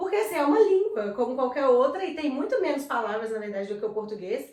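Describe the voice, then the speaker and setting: A woman talks at a very fast pace and a high pitch, with very wide pitch swings. Noticeable background noise and audible room echo fill the recording. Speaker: videocast co-host. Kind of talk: casual chat.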